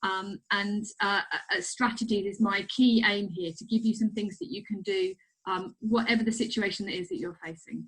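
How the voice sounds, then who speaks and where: Fairly even intonation marks a woman's somewhat breathy delivery. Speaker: clinical psychologist. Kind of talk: recorded webinar presentation. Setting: recorded online presentation with slides. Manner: fast; hesitant, many fillers.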